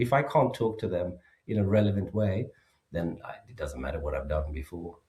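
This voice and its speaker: A man with a slight Swedish accent speaks in a dark, mellow tone. His voice is somewhat breathy. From Sweden. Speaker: safety expert and author. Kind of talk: podcast interview.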